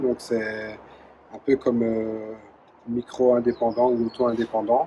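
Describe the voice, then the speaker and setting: A medium-pitched man with a Belgian accent, against noticeable background noise. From Belgium, Charleroi (Wallonia). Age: 40s. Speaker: former soldier running a creperie. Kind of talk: interview testimony. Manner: hesitant, many fillers.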